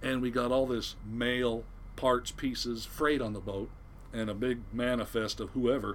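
Flat, monotone intonation comes with an American accent. The fairly slow speech carries audible room echo. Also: man, medium pitch for a man. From Southern California. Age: 60s. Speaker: retired fishing boat captain. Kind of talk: casual interview, storytelling.

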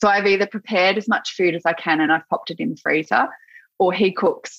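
A woman with an Australian accent speaks at a fairly quick pace, medium in pitch with ordinary pitch variation. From Australia, Gippsland, Victoria. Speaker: kinesiologist and yoga teacher. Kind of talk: casual interview.

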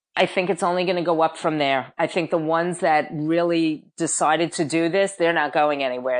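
A woman speaks in a normal speaking voice at a fairly low pitch and moderate pace, with a quiet background. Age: 50s. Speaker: personal trainer. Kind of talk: interview.

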